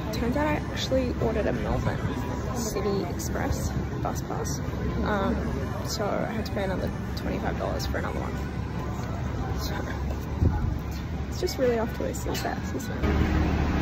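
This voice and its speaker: Clear music plays in the background as a woman speaks with long, frequent pauses. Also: moderate pace. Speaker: travel vlogger. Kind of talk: casual vlog chat. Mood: frustrated ranting. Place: station. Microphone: phone near.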